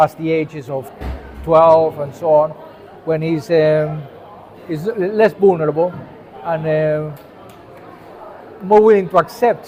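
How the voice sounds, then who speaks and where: This man talks at a fairly slow pace, his pitch fairly high with ordinary variation. Noticeable background noise runs under him. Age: 60s. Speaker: vlogger. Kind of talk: personal monologue to camera. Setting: gallery cafeteria. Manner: hesitant, many fillers.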